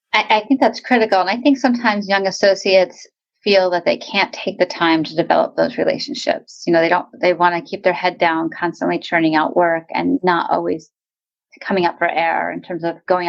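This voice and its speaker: A woman speaks with vocal fry and lively intonation. Her pace is fairly quick. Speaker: podcast host. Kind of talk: interview.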